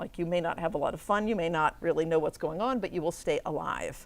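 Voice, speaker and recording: A woman speaks with lively intonation. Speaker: professor. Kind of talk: lecture. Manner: fast.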